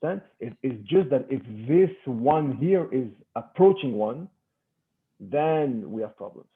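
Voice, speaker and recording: Here a man talks at a fairly slow pace and a fairly high pitch. His volume rises and falls sharply. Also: lively intonation. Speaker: math professor. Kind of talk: lecture. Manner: halting.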